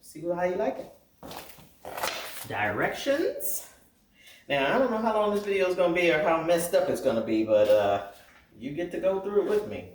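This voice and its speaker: A man's moderately paced speech carries audible room echo over noticeable background noise. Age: 60s. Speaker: quilting vlogger. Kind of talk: unboxing tutorial. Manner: casual, chatty.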